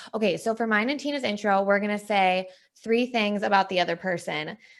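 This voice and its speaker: In a Wisconsin accent, a woman speaks with an animated tone, her fairly high voice bright and sharp. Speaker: podcast co-host, sales training manager. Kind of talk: casual chat.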